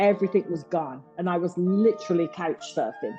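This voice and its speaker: Music plays in the background as a woman with a Birmingham accent speaks at a fairly slow pace and medium pitch with lively intonation. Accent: Birmingham (Brummie). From Birmingham, England. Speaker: boxing publicist. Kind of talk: podcast interview answer. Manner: candid, emotional.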